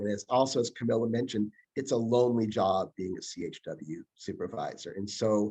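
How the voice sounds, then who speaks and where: A man with an unremarkable speaking voice talks at a moderate pace and a medium pitch. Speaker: public health trainer. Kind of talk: workshop presentation.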